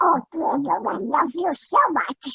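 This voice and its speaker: In a put-on character voice, the speaker talks at a fairly slow pace with a high, squeaky pitch. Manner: warm, tender.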